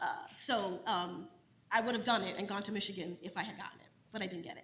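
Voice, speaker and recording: A woman speaks at a very fast pace in a New York accent, her pitch medium. Her intonation stays fairly even. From New York City. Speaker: professor. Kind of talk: panel discussion.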